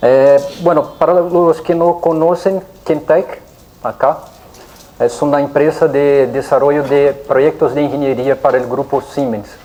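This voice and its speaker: A fairly slow pace with a Brazilian accent, over noticeable background noise. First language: Portuguese (speaking Spanish). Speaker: engineering company representative, conference speaker. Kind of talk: technical lecture. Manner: hesitant, many fillers.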